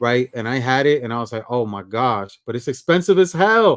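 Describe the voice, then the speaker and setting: The man's pitch swings very widely as he talks. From New York / New Jersey area, Puerto Rican descent. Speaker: livestream host. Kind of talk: casual chat. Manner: fast talker.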